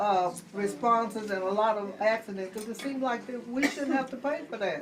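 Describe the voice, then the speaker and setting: Noticeable background noise sits behind a woman speaking at a fairly high pitch. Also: ordinary pitch variation, moderate pace. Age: 70s. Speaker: audience member. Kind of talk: town hall question.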